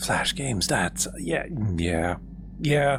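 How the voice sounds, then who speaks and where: In a calm tone and at a very slow pace, the voice comes through over noticeable background noise. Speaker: gaming streamer. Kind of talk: gameplay stream commentary.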